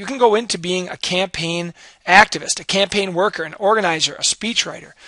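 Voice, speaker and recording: A man talks at a fairly quick pace in a raised, projected voice. His pitch is high. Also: dry, close sound with no echo. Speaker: high school civics teacher. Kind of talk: recorded class lecture.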